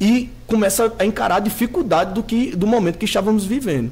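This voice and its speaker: His delivery is very fast. The man's voice sits high, and its pitch varies in an ordinary way. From Natal, Rio Grande do Norte, Brazil. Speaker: city councillor. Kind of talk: studio interview. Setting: TV studio.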